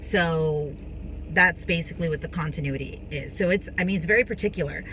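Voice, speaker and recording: Talking at a fairly quick pace, a woman keeps her fairly low pitch in fairly even intonation. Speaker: actress and vlogger. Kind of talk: casual tutorial vlog. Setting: on a film set, recording between takes. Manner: fast.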